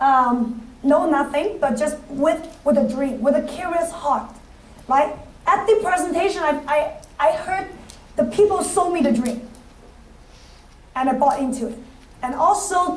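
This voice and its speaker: The speaker talks with a non-native accent. Audible room echo surrounds the voice. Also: woman. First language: not English. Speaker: financial services business leader. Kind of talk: motivational speech. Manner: halting.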